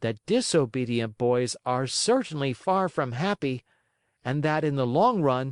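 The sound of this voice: Lively intonation runs through an unforced reading voice, heard over a quiet background.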